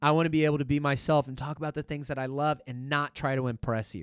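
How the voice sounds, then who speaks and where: In a very clean recording with a silent background and a dry, close sound with no echo, a man with an unremarkable speaking voice talks at a medium pitch and a fairly quick pace. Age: 30s. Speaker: US Marine, scout sniper. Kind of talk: casual interview.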